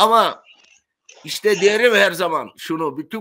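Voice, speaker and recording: Against a quiet background, a man talks in a bright, sharp tone with ordinary pitch variation. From Turkey, Bodrum (Aegean); Turkey. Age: 70s. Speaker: retired sponge diver; interview guest. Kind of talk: interview storytelling. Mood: earnest, emotional storytelling. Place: home room.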